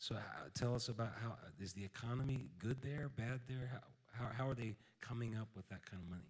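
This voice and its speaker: Somewhat breathy, a man talks at a fairly quick pace with medium pitch and ordinary pitch variation. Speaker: pastor. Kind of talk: offering appeal. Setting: church.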